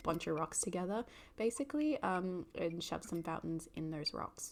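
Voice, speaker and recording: A woman with an Australian accent, medium in pitch, lively in intonation and fairly quick in pace. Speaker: gaming YouTuber. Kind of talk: gameplay commentary. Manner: casual, with many fillers.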